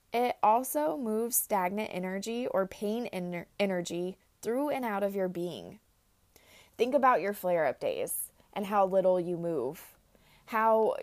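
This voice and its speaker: Against a silent background in a very clean recording, a woman at a medium pitch speaks fairly slowly with ordinary pitch variation. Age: 20s. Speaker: podcast host, chronic illness coach. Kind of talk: solo podcast monologue.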